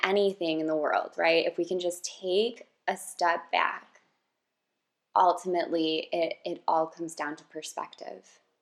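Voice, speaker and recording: This is a normal speaking voice at a fairly slow pace. The intonation stays fairly even. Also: woman. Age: 30s. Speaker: podcast host and yoga instructor. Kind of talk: casual chat.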